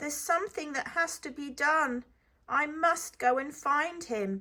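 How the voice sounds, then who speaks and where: A woman speaks in a put-on character voice at a moderate pace. Her pitch is high. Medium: read story.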